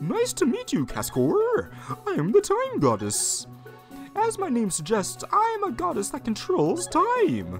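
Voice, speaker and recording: A man does a put-on character voice at a fairly slow pace with clear music in the background. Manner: cheerful, grandiose.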